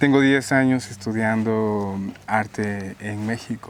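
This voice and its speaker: A man with a Guatemalan accent, very slow in pace, fairly low in pitch, with fairly even intonation. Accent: non-Mexican, Guatemalan. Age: 30s. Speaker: painter. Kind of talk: interview.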